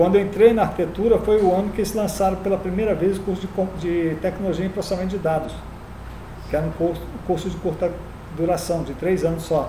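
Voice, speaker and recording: Noticeable background noise surrounds speech delivered at a very fast pace. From Rio de Janeiro, Brazil. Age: 60s. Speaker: teacher. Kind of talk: lecture.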